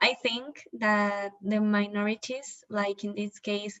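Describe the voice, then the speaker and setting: A woman's medium-pitched, flat, monotone voice at a fairly slow pace. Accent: slight non-native. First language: not English. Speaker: student presenter. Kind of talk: prepared discussion of a documentary. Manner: halting, with some fillers.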